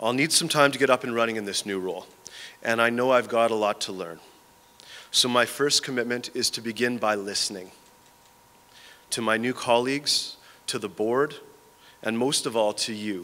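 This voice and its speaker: With ordinary pitch variation, a man talks at a moderate pace. He takes long, frequent pauses. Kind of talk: prepared speech. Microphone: podium.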